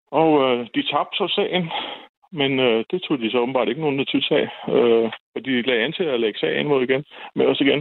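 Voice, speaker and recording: Keeping a very even loudness, a man speaks at a moderate pace with ordinary pitch variation. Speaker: caller. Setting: phone call.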